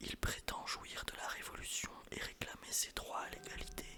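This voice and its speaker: Whispering at a fairly slow pace over noticeable background noise. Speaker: ASMR history narrator. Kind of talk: whispered ASMR history lesson. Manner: whispered, soft, relaxing.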